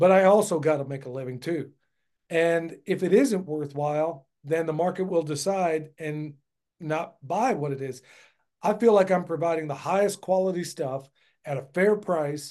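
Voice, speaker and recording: Against a quiet background, a man with an American accent speaks at a moderate pace in a high pitch, with a dark, mellow tone and ordinary pitch variation. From United States. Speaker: permaculture farmer and educator. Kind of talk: casual interview.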